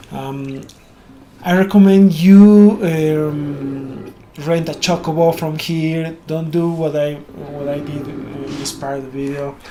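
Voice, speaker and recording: The speaker has a Spanish accent and talks at a very slow pace. Noticeable background noise runs under the voice. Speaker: gaming YouTuber. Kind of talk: game tutorial voiceover. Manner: halting, many fillers.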